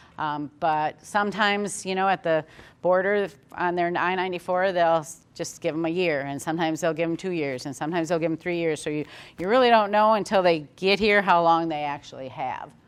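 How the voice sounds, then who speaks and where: A woman's fairly low voice at a fairly quick pace, a plain, everyday voice. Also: ordinary pitch variation. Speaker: HR manager and controller at a pork farm. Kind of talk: webinar presentation.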